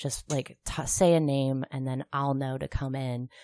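The voice has a dark, mellow tone and monotone, flat intonation. The sound is dry and close, with no echo. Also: woman. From Kansas, outskirts of Topeka. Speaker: comedian. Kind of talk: casual chat.

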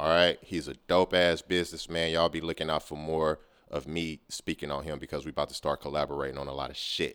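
Talking at a very fast pace, a man with an American accent and a very deep, low pitch keeps a monotone, flat intonation, with vocal fry. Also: hardly any pauses. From Oakland, California. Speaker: podcast host. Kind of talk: casual music show hosting.

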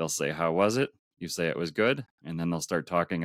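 On a very clean recording with a silent background and a dry, close sound with no echo, a man with a very deep, low voice talks at a fairly quick pace in an Upper Midwest accent. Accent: Upper Midwest American. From US Midwest, Minneapolis, Minnesota. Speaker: world traveler. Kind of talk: interview. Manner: halting, frequent repeated words.

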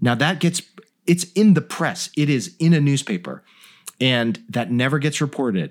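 A man with a General American accent speaks in an unremarkable speaking voice, with a fairly high pitch and lively intonation. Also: moderate pace, very clean recording, silent background. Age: 40s. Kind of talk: casual interview chat.

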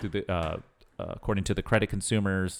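On a very clean recording with a silent background, a man with fairly low pitch and fairly even intonation speaks in an ordinary speaking voice. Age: 30s. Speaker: podcast co-host. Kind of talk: casual chat.

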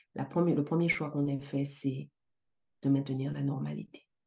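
The speaker is a woman at a moderate pace. Little can be heard behind her voice. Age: 40s. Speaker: life coach and entrepreneur. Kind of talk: casual interview.

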